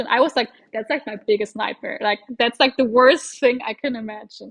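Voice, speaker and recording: A woman speaks with a high pitch at a moderate pace. Her loudness swings widely. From Germany. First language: German. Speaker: doctor. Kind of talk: casual interview chat.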